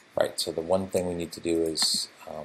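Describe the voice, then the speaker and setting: A man mumbles. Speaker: game developer streamer. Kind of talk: live coding stream. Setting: live stream. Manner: mumbling to himself.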